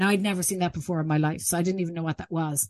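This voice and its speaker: A woman's fairly low-pitched voice with an Irish accent, a dark, mellow tone and ordinary pitch variation. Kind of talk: interview. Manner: halting.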